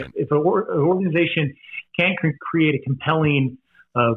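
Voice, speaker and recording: This is a plain, everyday voice. It moves at a medium speed. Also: man. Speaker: professional charity auctioneer and fundraiser. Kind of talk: podcast interview answer.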